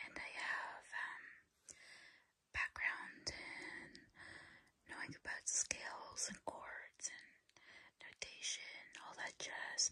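Whispering at a very slow pace, a woman leaves long, frequent pauses, her loudness swinging widely. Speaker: ASMR creator and hobbyist keyboard learner. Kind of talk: ASMR ramble to camera. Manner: whispered, soft-spoken, slow. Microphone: phone near.

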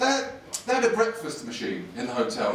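With light background noise and audible room echo, a man speaks in an animated, playful tone. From England. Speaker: stand-up comedian. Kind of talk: stand-up comedy set, live to a laughing crowd, with crowd work and punchline stories. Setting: stage with audience. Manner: animated, quick-fire, stammering repeats for comic timing, playful crowd banter. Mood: exasperated comic rant. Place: stage.

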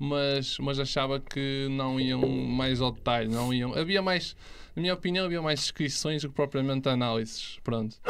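A man at a moderate pace with ordinary pitch variation, against noticeable background noise. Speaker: investment youtuber. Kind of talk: casual interview chat. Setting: studio. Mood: calm, explanatory. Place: studio. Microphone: studio mic.

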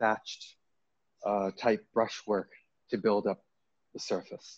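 A man with an American accent speaks in a fairly low voice with a flat, monotone delivery, the sound dry with no echo over a quiet background. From US Northeast, Maine. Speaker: painter. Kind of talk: artist talk. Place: hall.

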